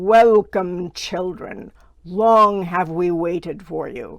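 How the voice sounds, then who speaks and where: A female-sounding, put-on character voice at middle pitch moves at a very slow pace. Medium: read story. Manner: solemn, commanding.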